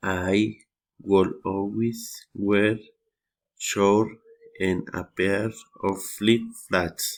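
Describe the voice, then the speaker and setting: A man with a Spanish accent, fairly low pitch and monotone, flat intonation, at a very slow pace with long, frequent pauses. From Colombia. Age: 30s. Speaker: English learner. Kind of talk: reading aloud. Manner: halting.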